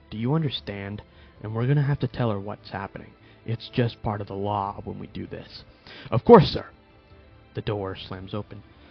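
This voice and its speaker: With music in the background, a man at a fairly low pitch talks at a moderate pace with ordinary pitch variation, long, frequent pauses and big swings in loudness. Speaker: fan fiction narrator. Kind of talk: fan fiction story read with character dialogue. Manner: hesitant, some stutters. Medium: read story.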